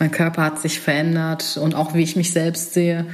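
Amid noticeable background noise and audible room echo, a woman with a fairly low pitch talks at a moderate pace. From Germany, Remscheid (North Rhine-Westphalia). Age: 30s. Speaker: political science graduate. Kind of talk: casual chat. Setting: at a dining table at home.

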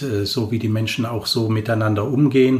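Noticeable background noise sits behind the speech. The intonation is fairly even. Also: man. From Germany, Cologne. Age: 50s. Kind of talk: personal faith interview. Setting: small room, in person.

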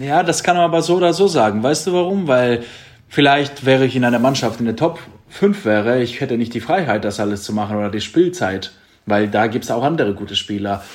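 A man at a fairly quick pace, medium in pitch, with lively intonation. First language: Greek (speaking German). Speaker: handball player. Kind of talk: casual interview. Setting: video call.

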